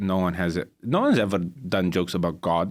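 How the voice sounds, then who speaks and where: A man speaks in a Romanian accent at a fairly slow pace. His pitch variation is ordinary, and the recording is very clean with a silent background. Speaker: stand-up comedian. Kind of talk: casual chat. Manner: halting.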